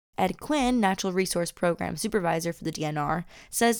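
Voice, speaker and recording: An ordinary speaking voice with an American accent, lively intonation and a fairly quick pace, on a very clean recording with a silent background. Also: woman. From Minnesota (Lake Elmo, Twin Cities area). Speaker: podcast host. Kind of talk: scripted narration.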